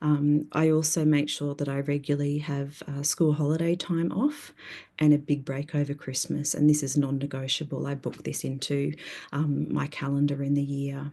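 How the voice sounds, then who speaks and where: A woman's very deep, low, dark and mellow voice in a flat monotone, with an Australian accent. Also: moderate pace. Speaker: therapist. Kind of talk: conference presentation.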